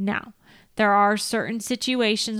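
In an American accent, a woman talks at a moderate pace with monotone, flat intonation on a very clean recording with a silent background. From Northern California. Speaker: field service manager in the equipment trade. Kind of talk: casual chat. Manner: talkative.

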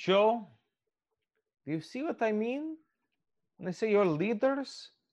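Against a quiet background, a man with a high voice talks at a fairly slow pace, his pitch swinging very widely. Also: long, frequent pauses. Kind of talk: dramatic in-character fantasy roleplay. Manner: solemn, measured and formal, stern and grave with archaic phrasing.

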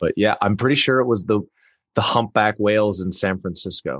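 A man with a Canadian accent speaks in an unremarkable speaking voice with ordinary pitch variation, in a dry, close sound with no echo over a quiet background. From western Canada (Vancouver). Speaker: actor. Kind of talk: interview.

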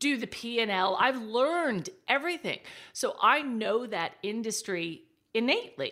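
A woman's fairly high voice in an American accent, animated, with a bright, sharp tone. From Texas. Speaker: digital marketing strategist. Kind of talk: casual interview chat. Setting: remote call.

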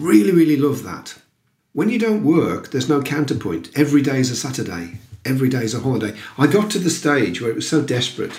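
A man speaks very fast in a fairly high voice with vocal fry. His pitch swings very widely. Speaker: recruitment business consultant. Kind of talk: interview.

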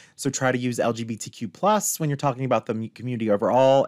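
A man with an American accent has a plain, everyday voice at medium pitch with ordinary pitch variation. The recording is very clean with a silent background and a dry, close sound with no echo. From Appalachian Virginia, US. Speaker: queer coach and podcast guest. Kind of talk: casual interview chat.

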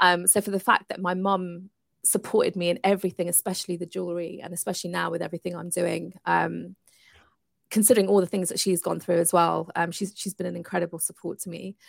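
A woman with a fairly low pitch and vocal fry, very fast and monotone, loudness swinging widely, in a dry, close sound with no echo. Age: 40s. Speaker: entrepreneur and coach. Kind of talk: interview.

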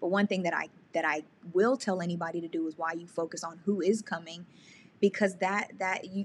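This woman has an unremarkable speaking voice at medium pitch. She talks at a fairly quick pace. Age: 30s. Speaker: YouTuber and podcast coach. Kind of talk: casual interview.

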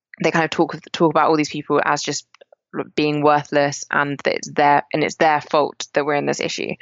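Delivered in a flat monotone with an English accent, the speech moves at a moderate pace. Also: woman, very deep, low pitch for a woman. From England, rural countryside. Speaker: climate justice activist. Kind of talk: interview conversation.

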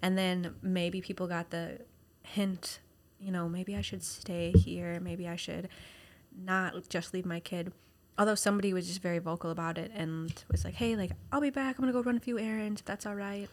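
Here is a woman with a plain, everyday voice at medium pitch and ordinary pitch variation. She speaks at a moderate pace on a very clean recording with a silent background. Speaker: podcast co-host, caregiver to a child. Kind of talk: casual chat.

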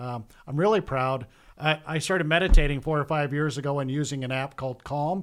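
A man with a plain, everyday voice speaks at a fairly high pitch and a fairly quick pace. His pitch varies in an ordinary way. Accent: American. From Iowa (Cedar Rapids). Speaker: bank executive. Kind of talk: casual interview.

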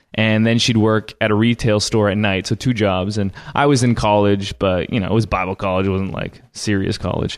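In an unremarkable speaking voice, a man talks at a fairly quick pace with hardly any pauses, a fairly low pitch and fairly even intonation over a quiet background. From Canada. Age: 20s. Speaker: church media business founder. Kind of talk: interview.

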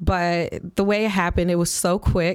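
A woman with a plain, everyday voice and an American accent speaks at a fairly low pitch and moderate pace with fairly even intonation, in a very clean recording with a silent background. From Flint, Michigan, US Midwest. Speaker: event reporter and podcast guest. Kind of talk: casual interview chat.

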